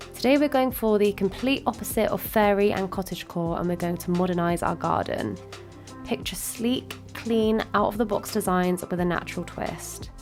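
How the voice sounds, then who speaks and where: A woman's medium-pitched voice at a moderate pace, with ordinary pitch variation and music in the background. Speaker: Minecraft builder. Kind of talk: tutorial voiceover.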